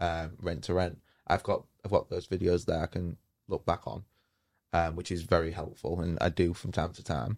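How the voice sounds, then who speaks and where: Fairly even in intonation, the voice moves at a moderate pace on a very clean recording with a silent background. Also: man. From northern England, Hull. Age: 20s. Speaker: property investor. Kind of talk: interview.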